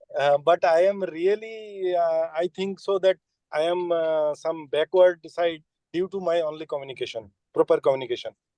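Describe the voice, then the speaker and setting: A man speaks in a Bengali accent at a moderate pace, high in pitch with a dark, mellow tone. The sound is dry and close, with no echo. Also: fairly even intonation. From West Bengal, India. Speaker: engineer and student. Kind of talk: audience question. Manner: halting.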